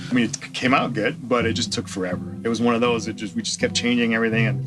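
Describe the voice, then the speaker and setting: Music in the background behind a man's medium-pitched voice, very fast in pace, with ordinary pitch variation. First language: French. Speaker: music producer. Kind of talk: documentary interview. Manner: halting.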